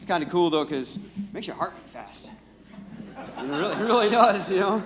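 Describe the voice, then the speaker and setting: A man's very fast speech comes through noticeable background noise. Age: 30s. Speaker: rehab program graduate. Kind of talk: testimony. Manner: loud; halting.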